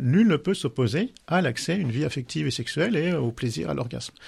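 Here a man talks with a fairly high pitch and some vocal fry. His intonation is lively. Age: 50s. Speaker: sexologist and couples therapist. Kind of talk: casual chat. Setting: studio.

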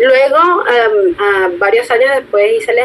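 The speaker is a woman. There is noticeable background noise. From Venezuela. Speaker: marketing specialist. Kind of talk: interview.

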